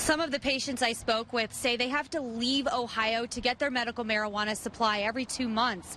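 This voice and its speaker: A high-pitched woman at a fairly quick pace, her pitch varying in an ordinary way. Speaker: TV news anchor and reporter. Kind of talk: TV news field reporting.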